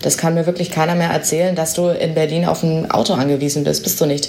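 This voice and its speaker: A woman speaks with a very deep, low pitch. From Bavaria (Augsburg). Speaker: company press spokesperson. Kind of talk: interview.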